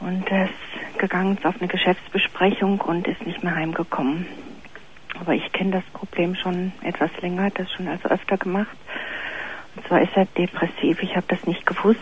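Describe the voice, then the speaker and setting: A woman speaks in a monotone, flat intonation against noticeable background noise. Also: medium pitch for a woman, moderate pace. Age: 50s. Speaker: caller. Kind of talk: worried personal story by phone. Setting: phone call.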